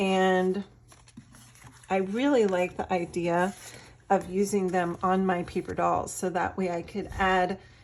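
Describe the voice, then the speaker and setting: A woman speaks at a fairly slow pace in a medium pitch. The recording is very clean, with a silent background. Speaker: artist and craft seller. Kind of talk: product showcase tutorial. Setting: at home. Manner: animated.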